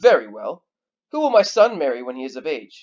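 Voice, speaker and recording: A man's put-on character voice, raspy and high-pitched, at a fairly quick pace with big swings in loudness and very wide pitch swings. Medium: read story. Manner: arrogant, commanding.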